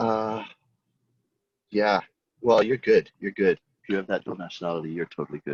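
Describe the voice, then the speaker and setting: A man with an American accent and a fairly low pitch talks at a moderate pace with ordinary pitch variation and long, frequent pauses, in a dry, close sound with no echo. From United States. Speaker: design teacher. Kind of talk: casual chat.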